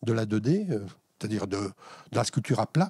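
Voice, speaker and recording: A man with a dark, mellow, somewhat breathy voice of medium pitch speaks at a moderate pace. The sound is dry and close, with no echo, on a very clean recording with a silent background. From Alsace, France. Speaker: wire sculptor, former interior architect. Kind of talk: interview. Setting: in his workshop. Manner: hesitant, many fillers.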